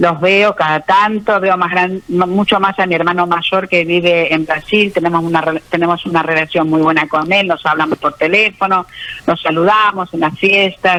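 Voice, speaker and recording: A woman with a fairly low pitch speaks with very even loudness, fairly even intonation and hardly any pauses over noticeable background noise. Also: moderate pace. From Argentina, born in Austria. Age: 70s. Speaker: author giving faith testimony. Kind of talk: radio interview testimony.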